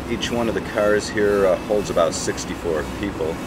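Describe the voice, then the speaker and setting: A man's moderate-paced speech comes through loud background noise. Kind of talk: casual vlog chat. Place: train. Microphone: webcam.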